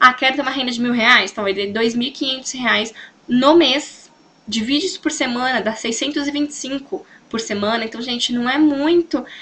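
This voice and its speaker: A woman's high-pitched, raised and projected voice with ordinary pitch variation, over noticeable background noise. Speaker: sales consultant and team coach. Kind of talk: motivational training talk. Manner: fast; animated.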